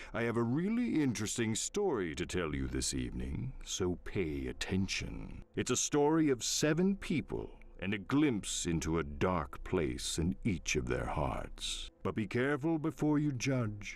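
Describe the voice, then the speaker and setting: A man's put-on character voice at a moderate pace, with hardly any pauses. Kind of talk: game narrator. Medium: video game. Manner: wry, theatrical, deadpan humor.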